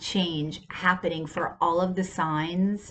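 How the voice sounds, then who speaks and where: Background noise is noticeable. The voice is a woman's. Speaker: tarot reader. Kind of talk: casual tarot reading monologue. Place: home room. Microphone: earbuds.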